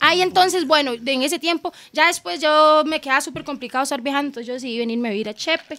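A woman's high, bright, sharp, raised and projected voice, very fast with hardly any pauses and ordinary pitch variation, on a very clean recording with a silent background. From southern Costa Rica. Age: 30s. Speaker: DJ. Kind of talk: casual chat.

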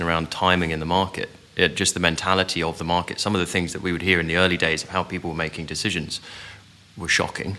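A man speaks very fast in a very deep, low voice, his intonation fairly even. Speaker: startup founder and CEO. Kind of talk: panel discussion.

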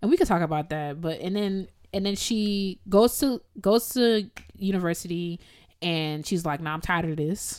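The recording is very clean, with a silent background. A woman speaks at medium pitch and a moderate pace, her tone animated and her pitch variation ordinary. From US Midwest, Evanston, Illinois. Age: 20s. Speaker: podcast host, violist. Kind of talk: casual chat. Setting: studio.

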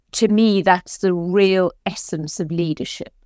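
This woman has a South African accent and a medium-pitched voice. Her intonation stays fairly even. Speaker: executive coach. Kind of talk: podcast interview.

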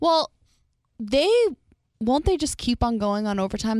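A woman with an American accent talks at a moderate pace with ordinary pitch variation on a very clean recording with a silent background. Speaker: beauty pageant titleholder. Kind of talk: casual chat. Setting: studio.

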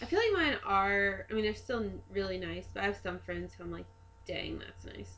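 Loudness swings widely throughout. The pace is moderate, with an American accent. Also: woman. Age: 20s. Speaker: podcast co-host. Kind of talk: casual chat.

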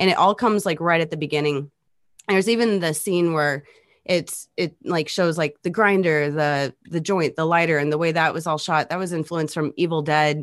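In a quiet background, a woman with an American accent talks at a moderate pace in a normal speaking voice, fairly low in pitch with fairly even intonation. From near St. Louis, Missouri. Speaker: electronic musician. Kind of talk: casual chat.

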